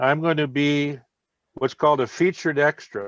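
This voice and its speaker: A man with an Upper Midwest accent at a fairly slow pace, the sound dry and close with no echo. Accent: Upper Midwest American. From Minnesota. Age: 70s. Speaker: retired veteran and author. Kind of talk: podcast interview. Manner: hesitant, many fillers.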